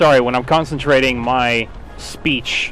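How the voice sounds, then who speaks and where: With noticeable background noise behind him, a man speaks at medium pitch. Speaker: video game streamer. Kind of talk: gameplay commentary while live streaming. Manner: halting, stutters when concentrating; casual, self-deprecating asides.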